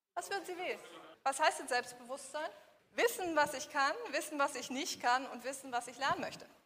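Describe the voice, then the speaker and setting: In an animated tone, a woman speaks fairly quickly with a high pitch, a bright, sharp tone and big swings in loudness. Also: ordinary pitch variation. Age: 40s. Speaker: business coach. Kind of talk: workshop lecture. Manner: interactive, animated.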